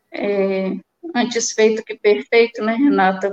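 A woman with a plain, everyday voice speaks at a fairly high pitch with fairly even intonation. The sound is dry and close, with no echo. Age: 30s. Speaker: mining professional. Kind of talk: testimony.

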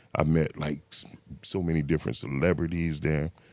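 A man speaks at a fairly slow pace with an American accent. His voice is very deep and low. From Miami, Florida (Liberty City). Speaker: person in addiction recovery. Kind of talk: casual interview, life story.

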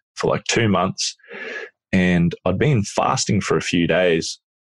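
In a dry, close recording with no echo, a man with a very deep, low voice speaks fairly slowly in an Australian accent. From rural Australia, Queensland. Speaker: adventurer. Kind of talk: casual chat.

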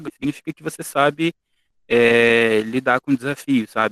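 This man has a normal speaking voice at a medium pitch with ordinary pitch variation. The sound is dry and close, with no echo. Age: 20s. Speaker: university student. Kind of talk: casual interview.

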